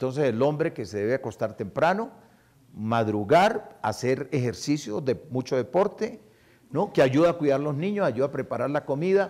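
Speaking at a moderate pace, a man with a fairly high voice lets his pitch swing very widely. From Colombia, Medellín and Palmira (Valle del Cauca); Colombia. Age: 70s. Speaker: salsa radio broadcaster and cultural promoter; salsa radio broadcaster. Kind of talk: public interview before audience. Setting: university auditorium with audience. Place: stage.

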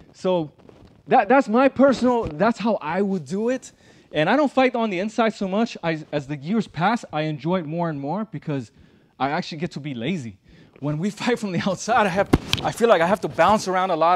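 Light background noise sits behind a man who talks at a fairly quick pace. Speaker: boxing coach. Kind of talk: tutorial. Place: gym.

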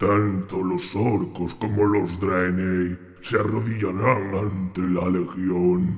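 Using a put-on character voice, a man speaks at a very slow pace with a fairly low pitch and a menacing tone. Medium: dub. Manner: menacing, authoritative.

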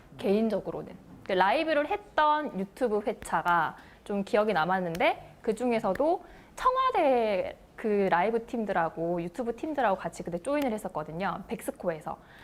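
This woman speaks in a Busan accent at a fairly high pitch. Her pitch swings very widely at a moderate pace. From Busan, South Korea. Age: 30s. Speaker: announcer and broadcaster. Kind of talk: TV talk show interview answer.

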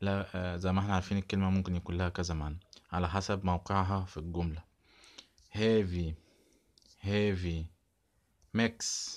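A man with an Egyptian accent, very deep and low in pitch, flat and monotone, with long, frequent pauses, on a very clean recording with a silent background. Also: moderate pace. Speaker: English teacher. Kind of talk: vocabulary lesson. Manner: repetitive word drilling.

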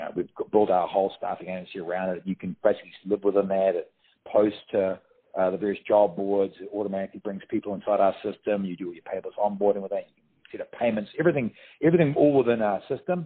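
Speaking at a very fast pace, a man uses a fairly low pitch with ordinary pitch variation. His loudness swings widely. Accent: New Zealand. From New Zealand. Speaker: staffing franchise operations manager. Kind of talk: interview answer. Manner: casual, conversational.

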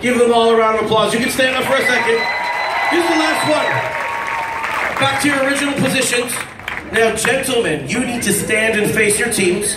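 Against crowd noise in the background, a man talks at a fairly quick pace with ordinary pitch variation. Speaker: game show host. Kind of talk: stage host instructions. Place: hall.

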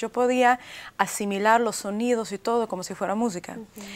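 Her pace is fairly quick as this woman talks at a fairly high pitch. She shows ordinary pitch variation. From US, arrived from Leningrad at age three. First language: Russian (speaking Spanish). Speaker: author; interviewee. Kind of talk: TV interview. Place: studio. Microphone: lapel.

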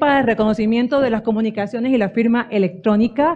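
In an ordinary speaking voice, a woman talks with ordinary pitch variation. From Central America. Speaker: digital rights NGO representative; conference speaker. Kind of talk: conference talk. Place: hall. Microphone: podium.

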